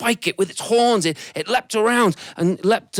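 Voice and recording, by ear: Ordinary pitch variation colors this reading aloud in a natural voice.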